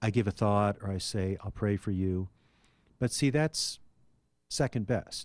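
Someone with an American accent speaks at a fairly slow pace with long, frequent pauses and ordinary pitch variation, in a dry, close sound with no echo. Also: man, fairly low pitch for a man. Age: 60s. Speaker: philosophy professor. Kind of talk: radio interview.

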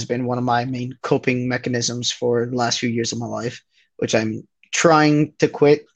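Spoken at a moderate pace, a plain, everyday voice keeps a fairly even intonation. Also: man. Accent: American. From New Jersey. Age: 20s. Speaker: bar manager. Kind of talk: casual chat.

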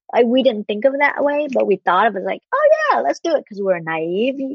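This woman speaks in a high voice with a Vietnamese accent. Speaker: broadcast journalist. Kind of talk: casual chat.

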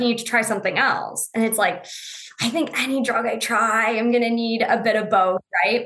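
A woman with a normal speaking voice, fairly high pitch, fairly quick pace and very even loudness. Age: 20s. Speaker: Crohn's disease patient sharing her story. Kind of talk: interview conversation.

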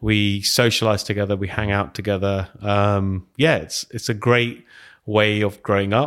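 In a London accent, the speaker talks at a fairly slow pace with fairly even intonation on a very clean recording with a silent background. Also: man, fairly low pitch for a man. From West London. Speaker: tech evangelist, former teacher. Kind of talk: casual interview. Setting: studio.

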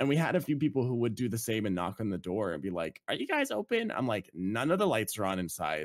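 A man at medium pitch with very wide pitch swings and a very fast pace, in a very clean recording with a silent background. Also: hardly any pauses. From British Columbia, Canada. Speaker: podcast co-host. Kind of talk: casual chat.

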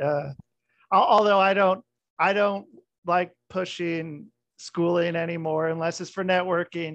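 A man with a high voice and an American accent speaks against a quiet background. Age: 40s. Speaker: podcast host. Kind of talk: casual chat. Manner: animated.

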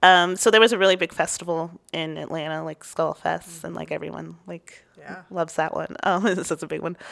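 A woman talks at a fairly quick pace with a Southern California accent. The sound is dry and close, with no echo. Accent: Valley girl sound. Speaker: stand-up comedian, podcast guest. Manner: uses "like" as a frequent filler.

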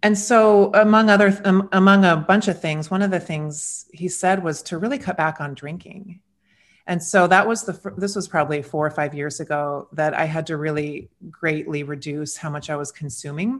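A woman's fairly low, a plain, everyday voice with ordinary pitch variation against a quiet background. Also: moderate pace. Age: 40s. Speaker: podcast co-host. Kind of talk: casual chat.

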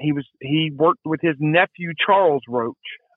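In a Southern US accent, a man with a fairly high pitch speaks at a fairly slow pace with fairly even intonation. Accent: Southern US (Georgia). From US South, Georgia (Marietta). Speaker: barber, deer hunter. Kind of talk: casual storytelling interview. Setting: phone call.

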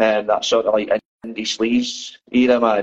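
A man with a Dundee accent speaks at a medium pitch. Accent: Scottish (Dundee). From Scotland, Dundee. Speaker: band musician. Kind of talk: casual interview chat. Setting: video call from phone.

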